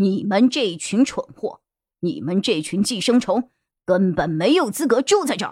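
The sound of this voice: Over a quiet background, lively intonation colors an unforced reading voice.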